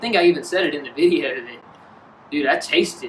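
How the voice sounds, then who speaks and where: Amid noticeable background noise, the speaker goes at a fairly quick pace with lively intonation. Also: man. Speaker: fishing video host. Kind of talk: casual chat. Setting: outdoors. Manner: animated; screams when excited.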